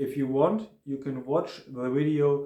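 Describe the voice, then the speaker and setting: Speaking at a fairly slow pace, the voice carries a German accent. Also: man. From Germany. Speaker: travel vlogger. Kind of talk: hotel review monologue. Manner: halting, with many fillers.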